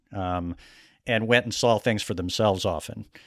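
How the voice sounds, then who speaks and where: A man talks in a normal speaking voice with a fairly low pitch at a moderate pace, on a very clean recording with a silent background. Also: dry, close sound with no echo. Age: 40s. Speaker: podcast host, magazine journalist. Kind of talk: interview; casual chat.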